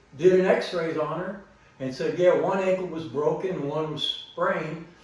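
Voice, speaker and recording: A man with a high voice talks at a fairly slow pace, with audible room echo and noticeable background noise. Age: 60s. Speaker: vlogger. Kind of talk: personal story told to camera.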